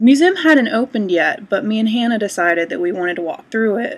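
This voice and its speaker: The voice belongs to a woman. Its pitch varies in an ordinary way. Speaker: vlogger. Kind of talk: casual vlog chat. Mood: cheerful, amused storytelling. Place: home room. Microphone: webcam.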